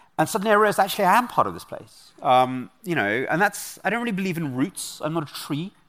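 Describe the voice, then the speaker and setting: Talking at a very fast pace with hardly any pauses, a man with a high pitch and a London accent uses lively intonation and big swings in loudness. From London, England. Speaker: author and researcher. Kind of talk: interview. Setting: stage with audience.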